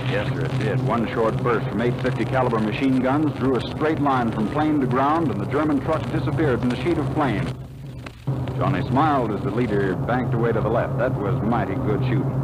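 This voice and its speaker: Noticeable background noise accompanies a man at a medium pitch. He talks at a fairly quick pace, with very even loudness and fairly even intonation. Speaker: radio announcer. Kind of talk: radio drama narration. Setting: old radio transcription disc.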